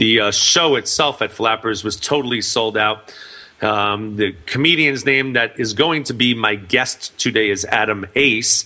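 A man's medium-pitched voice shows ordinary pitch variation as he speaks fairly slowly. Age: 40s. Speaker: radio talk show host and business speaker. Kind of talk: casual interview. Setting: internet radio studio. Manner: loud.

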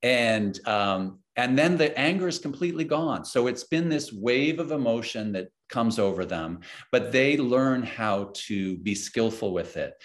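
This is an unremarkable speaking voice with lively intonation. The pace is fairly slow. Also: man, medium pitch for a man. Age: 50s. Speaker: educator and author. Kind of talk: casual chat.

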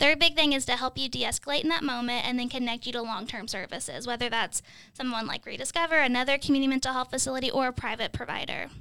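The voice is raised and projected, with a bright, sharp tone. It moves at a very fast pace with fairly even intonation. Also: woman, high pitch for a woman. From Kentucky. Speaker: crisis line professional. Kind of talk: panel discussion.

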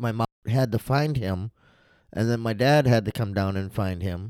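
A plain, everyday voice from a man at medium pitch, moderate pace and ordinary pitch variation, dry and close with no echo, on a very clean recording with a silent background. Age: 40s. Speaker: interviewee sharing mental health story. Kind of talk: personal testimony interview. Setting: studio.

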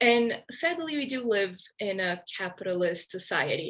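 Against a quiet background, a woman speaks in a Portuguese accent at a fairly slow pace. Her pitch is medium. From Brazil. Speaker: book reviewer. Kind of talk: casual interview.

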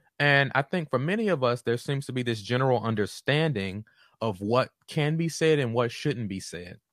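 A man with an American accent speaks in an unremarkable speaking voice at a moderate pace, his intonation lively, the sound dry and close with no echo on a very clean recording over a silent background. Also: medium pitch for a man. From Southeast Washington, D.C., US. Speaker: podcast host, counseling doctoral student. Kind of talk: solo monologue podcast.

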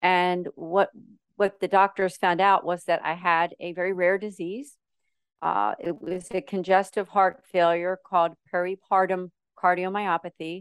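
In a dry, close sound with no echo and a quiet background, a woman speaks at a medium pitch and a fairly slow pace with monotone, flat intonation. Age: 50s. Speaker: model, actress and ministry founder. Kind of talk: interview testimony.

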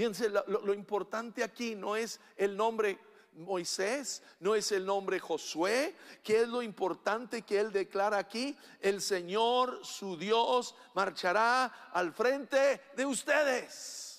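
At a very slow pace, a man with a high pitch speaks with ordinary pitch variation. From Mexico. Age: 60s. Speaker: pastor. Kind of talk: sermon. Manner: animated; halting.

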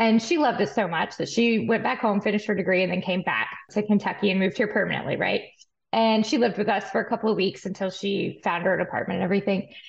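A woman with an American accent, somewhat breathy, at medium pitch, very fast pace, very even loudness and fairly even intonation. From West Texas (Amarillo). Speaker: forage research analyst and horse farm owner. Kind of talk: interview podcast.

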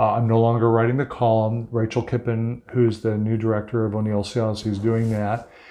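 Monotone, flat intonation and very even loudness mark this dark, mellow voice, which runs on with hardly any pauses. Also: man, medium pitch for a man, fairly quick pace. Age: 60s. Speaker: ocean activist. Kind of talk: interview conversation. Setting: at his home.

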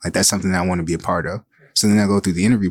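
A man with an American accent speaks at a very deep, low pitch on a very clean recording with a silent background. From Saginaw, Michigan, US. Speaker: diversity director for a football team. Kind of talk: interview.

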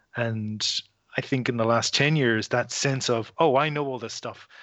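In an Irish accent, a man speaks at a medium pitch and a moderate pace with fairly even intonation. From Ireland. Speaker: writer and podcaster. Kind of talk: casual interview chat.

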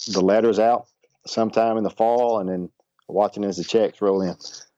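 In a Southern US accent, a man talks at a fairly quick pace with a fairly low pitch, a dark, mellow tone and monotone, flat intonation, the sound dry and close with no echo. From Arkansas. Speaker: baseball coach. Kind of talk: interview.

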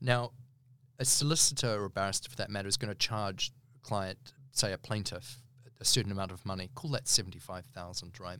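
In a very clean recording with a silent background, a man with a New Zealand accent talks at a fairly quick pace, his fairly low-pitched voice bright and sharp in tone. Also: ordinary pitch variation. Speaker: barrister. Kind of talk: interview. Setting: recording studio.

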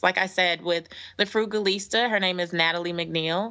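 Speaking at a moderate pace, a woman keeps a medium pitch with ordinary pitch variation. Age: 30s. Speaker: author and speaker. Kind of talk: casual chat. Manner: animated.

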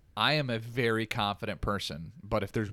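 The speaker has a plain, everyday voice with fairly even intonation and a moderate pace. The recording is very clean, with a silent background. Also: man. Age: 30s. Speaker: police department overnight worker. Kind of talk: casual chat.

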